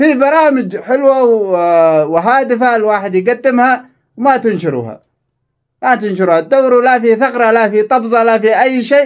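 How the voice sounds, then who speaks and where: A man with a Yemeni accent speaks in an animated tone at an extremely high pitch and a moderate pace, with ordinary pitch variation and very even loudness. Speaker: social media content creator. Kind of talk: angry rant to followers.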